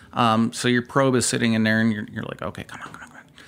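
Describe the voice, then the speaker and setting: This is a man speaking with a Midwestern US accent. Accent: US Midwest. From Southeast Michigan. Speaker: barbecue competitor. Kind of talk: casual chat.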